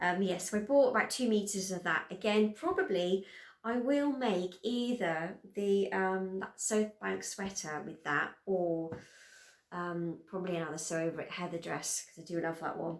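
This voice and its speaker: At a moderate pace, a woman with a British accent speaks at a medium pitch with ordinary pitch variation. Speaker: sewing vlogger. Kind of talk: casual chat.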